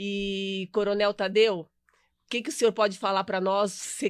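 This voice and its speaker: The audio is very clean, with total silence behind the speaker. She is a woman talking at a medium pitch. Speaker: co-host, community security council president. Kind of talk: live talk show interview.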